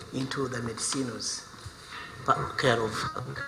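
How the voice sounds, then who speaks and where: There's a man speaking at a medium tempo. The room echoes audibly, and background noise is clearly present. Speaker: visiting associate professor, researcher. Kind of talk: conference presentation.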